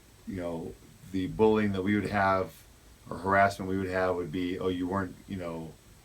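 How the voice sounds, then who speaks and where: Audible room echo surrounds a man with a very deep, low voice. He speaks at a moderate pace in a monotone, flat manner. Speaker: school administrator. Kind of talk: interview. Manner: loud.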